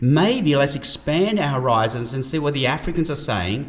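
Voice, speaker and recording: With an Australian accent, someone speaks at a moderate pace with lively intonation over noticeable background noise. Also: man. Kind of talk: conversational Q&A discussion.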